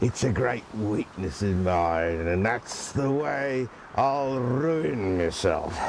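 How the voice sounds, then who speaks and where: A man's fairly low put-on character voice, very slow in pace, over clear background noise. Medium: stage play. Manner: chuckling, wheedling.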